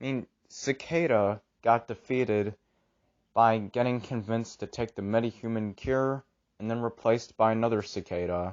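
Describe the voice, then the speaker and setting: Using a normal speaking voice, a man at medium pitch talks at a moderate pace with fairly even intonation. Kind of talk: casual commentary video.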